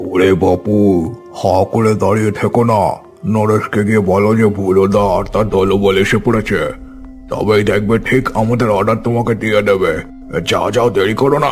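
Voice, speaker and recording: Over clear music in the background, a man does a cartoonish character voice at a fairly low pitch and moderate pace. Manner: teasing, laughing.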